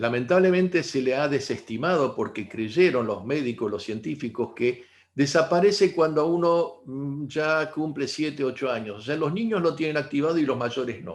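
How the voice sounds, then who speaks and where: Against a quiet background, a man with an unremarkable speaking voice talks at a moderate pace in a fairly high pitch, with lively intonation and hardly any pauses. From Argentina. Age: 60s. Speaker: integrative therapist. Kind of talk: talk to online audience.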